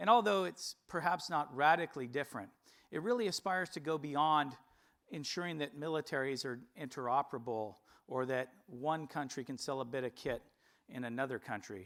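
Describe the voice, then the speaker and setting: A man speaks with an American accent at a fairly quick pace. His voice is fairly high, with lively intonation. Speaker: company executive presenter. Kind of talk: investor presentation. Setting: stage with audience. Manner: formal.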